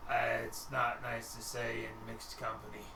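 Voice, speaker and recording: A man's put-on character voice at medium pitch and moderate pace, over loud background noise. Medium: actual play. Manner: weary, hesitant.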